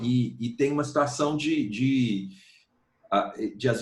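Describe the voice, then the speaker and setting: The speech moves at a very slow pace. The voice is somewhat breathy. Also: man. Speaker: singer-songwriter. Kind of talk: interview answer.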